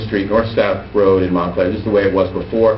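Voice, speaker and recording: Over noticeable background noise and audible room echo, a man speaks fairly quickly in a fairly low pitch. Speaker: transportation planning presenter. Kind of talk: presentation to town council. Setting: council chambers meeting. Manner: fast.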